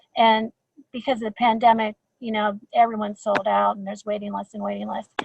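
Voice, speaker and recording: The voice is somewhat breathy. The sound is dry and close, with no echo. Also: woman. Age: 60s. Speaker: school garden leader. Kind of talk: webinar talk. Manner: halting, many repetitions.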